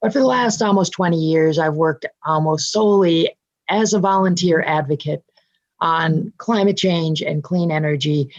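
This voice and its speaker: A woman with a plain, everyday voice speaks at a fairly low pitch, showing ordinary pitch variation. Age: 60s. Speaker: clean energy advocate. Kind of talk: interview.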